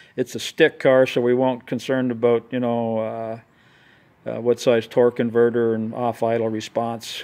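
At a moderate pace, a man speaks in a monotone with flat intonation. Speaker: engine builder. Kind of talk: casual talk to camera. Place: garden. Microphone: phone near.

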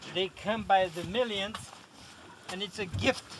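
A man speaks against noticeable background noise. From Romania. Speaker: commercial salmon fisherman. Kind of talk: interview answer. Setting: outdoors. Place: boat. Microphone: camera far.

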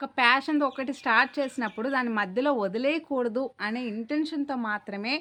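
Projected and raised, this voice carries a bright, sharp tone while its pitch moves in an ordinary way. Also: woman, high pitch for a woman. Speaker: YouTuber. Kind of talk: monologue vlog. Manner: clear.

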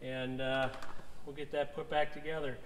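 In a room with audible echo and light background noise, a man speaks at a fairly slow pace with ordinary pitch variation. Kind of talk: tutorial. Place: garage. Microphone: camera far.

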